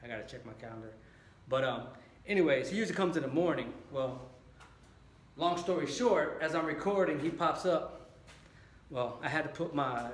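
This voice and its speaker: A man at a fairly quick pace, ordinary pitch variation, audible room echo. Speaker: fitness vlogger. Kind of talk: casual vlog chat. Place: garage. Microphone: phone near.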